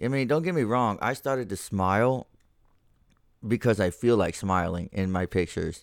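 A man talks at a moderate pace with a fairly low pitch and ordinary pitch variation. The recording is very clean and the background silent. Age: 30s. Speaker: podcast host. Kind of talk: casual monologue. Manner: casual, profane and rambling.

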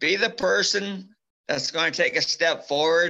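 A man with a Canadian prairie accent, very slow pace, and a bright, sharp tone. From Alberta, Canada. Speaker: former bull rider and brain injury survivor. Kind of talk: testimony; casual interview.

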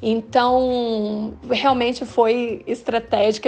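The speaker is a woman with a dark, mellow tone. Her intonation is monotone and flat. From Paraná, Brazil (Londrina). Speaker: translator and university teacher. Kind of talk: interview.

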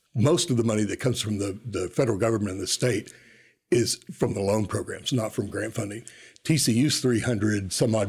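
A man talks at a fairly quick pace in a fairly low, somewhat breathy voice with ordinary pitch variation. The recording is very clean, with a silent background. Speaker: university enrollment administrator. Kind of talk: interview. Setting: studio.

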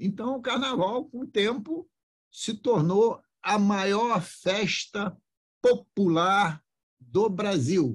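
A man with a high voice and lively intonation talks very slowly. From Rio de Janeiro, Brazil. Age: 70s. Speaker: politician. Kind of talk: podcast interview.

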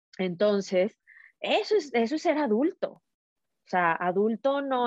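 With an unremarkable speaking voice, a woman speaks fairly slowly at a fairly high pitch and with lively intonation. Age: 30s. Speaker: entrepreneur and empowerment coach. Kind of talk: casual interview chat.

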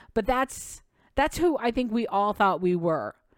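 A woman with a plain, everyday voice talks at a fairly slow pace and a medium pitch, her intonation lively, in a very clean recording with a silent background. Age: 50s. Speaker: podcast host and actor. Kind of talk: casual solo monologue.

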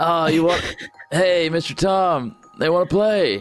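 A man puts on a high-pitched, drawling character voice at a fairly slow pace, with ordinary pitch variation and very even loudness over faint background music. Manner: relaxed surfer drawl, says dude constantly.

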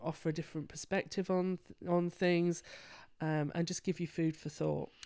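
A woman speaks in a London accent in a very clean recording with a silent background. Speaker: counsellor. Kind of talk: casual interview.

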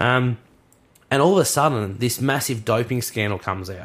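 A man with an Australian accent, animated in tone and lively in intonation. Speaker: sports podcast co-host. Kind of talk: casual chat. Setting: studio.

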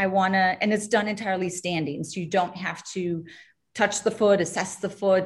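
A woman's somewhat breathy, medium-pitched voice at a moderate pace. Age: 40s. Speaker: doctor specializing in feet. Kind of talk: webinar panel discussion. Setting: video call.

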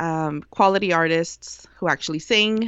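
This woman talks with a Spanish accent. Her voice sits fairly low. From US. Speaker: Spanish radio broadcaster. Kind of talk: casual chat.

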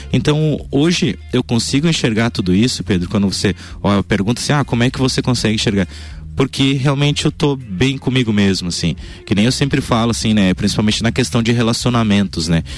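A man's voice swings very widely in pitch. Vocal fry runs through it. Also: medium pitch for a man, fairly quick pace, very even loudness. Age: 20s. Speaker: radio health columnist. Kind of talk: radio chat.

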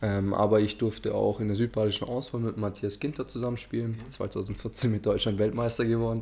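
A man talks at a fairly quick pace with hardly any pauses, his fairly low voice dark and mellow, somewhat breathy, and flat in a monotone. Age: 20s. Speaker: amateur footballer and investment adviser. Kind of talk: casual interview.

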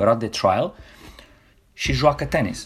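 On a very clean recording with a silent background, a man with an ordinary speaking voice and medium pitch speaks at a moderate pace. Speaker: tennis coach. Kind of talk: casual interview.

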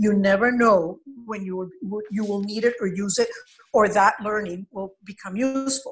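With music in the background, a woman speaks at medium pitch and a moderate pace with fairly even intonation. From Venezuela. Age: 70s. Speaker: college counselor. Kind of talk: interview.

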